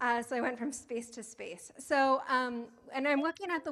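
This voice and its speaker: A woman is talking. She uses ordinary pitch variation. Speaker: academic researcher. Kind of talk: conference talk. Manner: fast.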